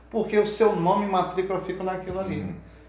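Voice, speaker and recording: A man rattles along at a very fast pace, his voice carrying audible room echo against noticeable background noise. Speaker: police officer. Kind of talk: casual interview.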